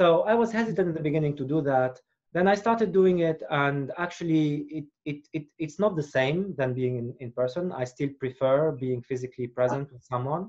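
Fairly quick speech from a man over a quiet background. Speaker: guest. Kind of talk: interview answer. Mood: calm, reflective. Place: home room. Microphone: video call.

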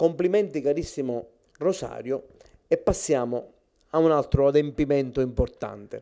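A dark, mellow tone holds very even loudness at a moderate pace, with ordinary pitch variation and a quiet background. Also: man, fairly high pitch for a man. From Sicily (Cefalù); Sicily. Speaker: literary society president; host presenting an award. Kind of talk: formal speech. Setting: at the guest's home. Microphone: handheld.

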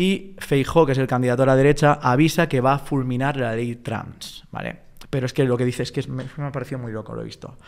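A very fast pace with hardly any pauses, fairly even intonation and a Spanish accent, over a quiet background. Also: man, medium pitch for a man. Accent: Peninsular Spanish. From Spain. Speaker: interviewer. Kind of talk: interview. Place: studio. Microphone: studio mic.

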